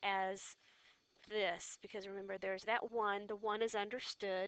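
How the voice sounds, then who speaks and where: A woman speaks at a fairly slow pace with a medium pitch and a bright, sharp tone. The sound is dry and close, with no echo. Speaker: physics teacher. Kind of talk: tutorial. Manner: loud.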